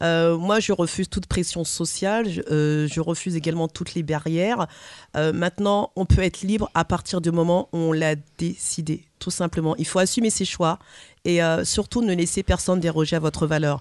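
Against a quiet background, with a dry, close sound and no echo, a woman in an unremarkable speaking voice talks at a moderate pace and fairly low pitch with ordinary pitch variation. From French Caribbean heritage. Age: 40s. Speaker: personal development coach. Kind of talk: radio panel discussion. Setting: studio.

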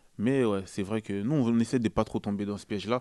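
In a dry, close sound with no echo, a man rattles off words at a very fast pace, his dark, mellow tone showing ordinary pitch variation. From Paris region, Noisy-le-Sec. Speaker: rapper. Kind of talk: casual radio interview. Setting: radio studio.

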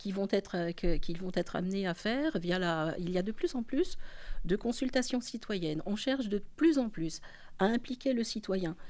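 A woman's medium-pitched voice, dark and mellow in tone, at a fairly slow pace. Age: 60s. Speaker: politician and association leader. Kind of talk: political interview.

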